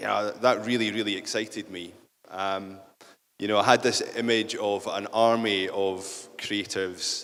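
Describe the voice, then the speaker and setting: A man's fairly low voice with a Scottish accent, at a moderate pace. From central Scotland. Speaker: business leader. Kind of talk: conference talk.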